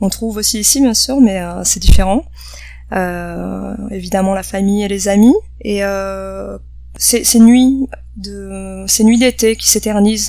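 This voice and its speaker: Over noticeable background noise, a woman speaks very slowly, her loudness swinging widely. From south-west France, Bordeaux. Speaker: cultural cooperation worker. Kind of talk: interview. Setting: on site during lunch break. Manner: halting, many fillers.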